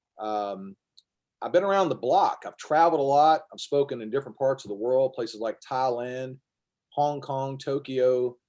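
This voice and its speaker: A man with a Kentucky accent, medium pitch, ordinary pitch variation and a moderate pace. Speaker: former teacher and health speaker. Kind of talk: casual interview.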